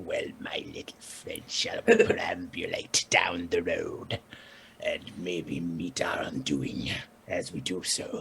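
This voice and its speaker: A raspy, put-on character voice from a man, fairly slow, with light background noise. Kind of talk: pompous, old-fashioned phrasing. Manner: mock-grand, playful.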